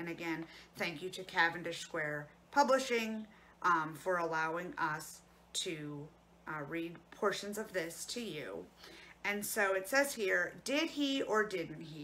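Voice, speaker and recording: A woman speaks at a fairly slow pace and a fairly low pitch. Her loudness swings widely over light background noise. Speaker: librarian or storyteller. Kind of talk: educational talk and read-aloud. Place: home room. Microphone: phone near.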